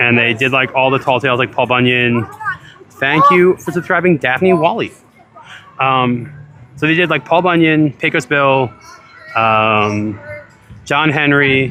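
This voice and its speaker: Music in the background under a man's medium-pitched voice at a fairly slow pace, very even in loudness, ordinary in pitch variation, with long, frequent pauses. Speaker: livestreamer at theme park. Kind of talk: casual live commentary.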